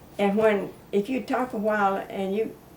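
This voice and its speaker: There is noticeable background noise behind this woman. She speaks with an American accent at a fairly high pitch. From South Georgia, US. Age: 80s+. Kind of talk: interview answer, reminiscing about old times.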